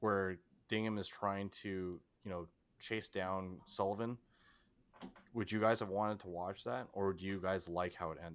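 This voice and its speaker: An American-accented man's voice, very clean recording, silent background. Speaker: podcast host. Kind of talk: casual chat. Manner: laughs often.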